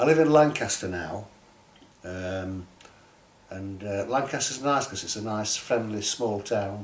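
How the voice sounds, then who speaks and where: With a Yorkshire accent and a fairly low pitch, a man speaks at a fairly slow pace with long, frequent pauses, big swings in loudness, ordinary pitch variation and audible room echo. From Sheffield, northern England. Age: 70s. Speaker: writer and poet. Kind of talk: interview.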